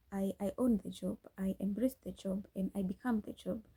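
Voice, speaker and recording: A woman with a Kenyan accent speaks at a medium pitch and moderate pace in a dark, mellow, somewhat breathy tone, with fairly even intonation and a dry, close sound with no echo. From Kenya, Nyeri. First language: Kikuyu. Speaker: podcast host, scriptwriter. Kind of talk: casual chat. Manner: halting, frequent restarts.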